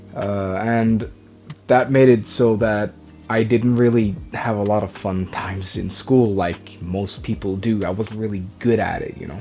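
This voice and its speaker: A man with a Norwegian accent, fairly low in pitch and dark, mellow in tone, at a fairly slow pace with fairly even intonation. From Norway. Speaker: vlogger. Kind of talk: personal vlog. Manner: halting.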